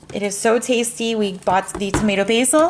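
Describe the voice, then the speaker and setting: With noticeable background noise behind her, a woman speaks at a moderate pace with ordinary pitch variation. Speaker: mom lifestyle vlogger. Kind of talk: casual haul vlog.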